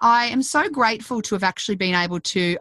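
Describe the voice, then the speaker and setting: In an Australian accent, a woman talks at a fairly quick pace with a medium-pitched voice. Her pitch swings very widely. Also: dry, close sound with no echo. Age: 30s. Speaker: parenting podcast host, former hospital worker. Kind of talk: interview; scripted intro and outro.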